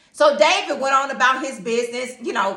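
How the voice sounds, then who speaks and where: Amid noticeable background noise and audible room echo, a woman projects a raised voice at a high pitch, moving at a moderate pace with ordinary pitch variation. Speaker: teacher and Bible devotional speaker. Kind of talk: informal Bible devotional talk. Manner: animated, stuttering when excited.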